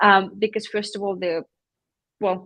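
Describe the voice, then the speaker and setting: This woman has a non-native accent and a medium pitch. She speaks at a moderate pace, and the sound is dry and close with no echo. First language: not English. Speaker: PR agency founder. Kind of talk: live-streamed panel interview. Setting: live stream.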